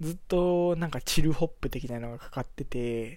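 A man talks at a fairly slow pace with a fairly high pitch. His tone is relaxed, dark and mellow. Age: 20s. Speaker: podcaster. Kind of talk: casual solo monologue. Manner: relaxed, filler-heavy.

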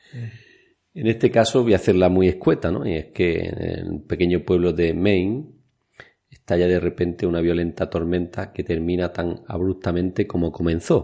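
Very deep and low, this man's dark, mellow voice moves at a moderate pace with fairly even intonation. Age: 40s. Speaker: podcast co-host. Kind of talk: casual chat.

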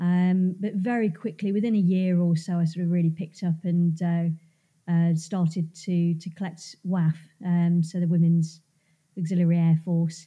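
The voice has a dark, mellow tone, somewhat breathy, with an English accent. It moves at a moderate pace in a monotone, flat intonation. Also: woman, fairly low pitch for a woman. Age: 30s. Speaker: reproduction business co-founder. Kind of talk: casual chat.

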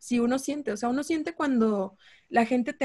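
Somewhat breathy, the woman speaks with ordinary pitch variation. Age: 20s. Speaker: podcast guest. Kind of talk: casual chat. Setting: remote call.

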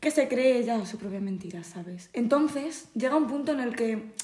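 At a moderate pace, the voice swings very widely in pitch over noticeable background noise. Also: woman. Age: 20s. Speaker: podcast guest, friend of host. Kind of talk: casual chat. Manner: quiet. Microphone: far from the mic.

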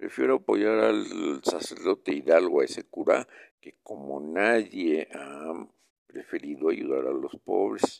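Dry and close with no echo, the voice moves at a very slow pace with big swings in loudness. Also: man. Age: 70s. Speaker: local chronicler broadcaster. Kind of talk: reading aloud.

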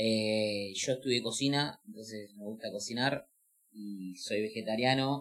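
With a Rioplatense accent, a man at medium pitch talks with big swings in loudness. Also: fairly even intonation, fairly slow pace. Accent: Rioplatense Spanish (porteño). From Buenos Aires city, Argentina. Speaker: roller skater. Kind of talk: casual chat. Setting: studio.

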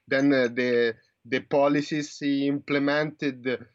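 With an Italian accent, a man speaks at a fairly slow pace in a flat monotone against a quiet background. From Italy. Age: 20s. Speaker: PhD student. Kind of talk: interview. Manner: halting, many fillers.

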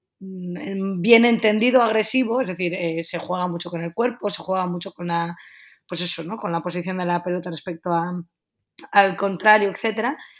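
Her delivery is fairly slow, with fairly even intonation, a medium pitch and an ordinary speaking voice. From Basque Country, Getxo. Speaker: retired field hockey player. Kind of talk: interview.

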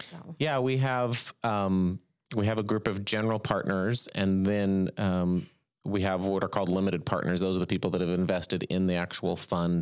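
A man with a very deep, low pitch and an American accent, at a moderate pace with ordinary pitch variation, on a very clean recording against a silent background. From California, Bakersfield. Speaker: venture investor. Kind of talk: casual interview.

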